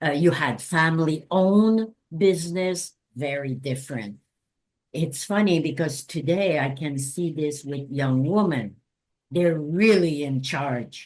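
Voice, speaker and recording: Speaking in a Quebec accent, a woman has a very deep, low pitch with ordinary pitch variation. Her pace is fairly slow. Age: 70s. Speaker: anthropologist and sex worker rights activist. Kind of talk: interview. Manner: halting.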